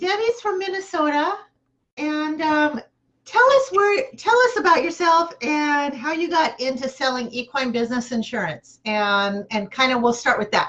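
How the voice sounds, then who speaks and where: A loud woman at a moderate pace, high-pitched with very wide pitch swings. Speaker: horse barn show host. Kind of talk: live video show interview.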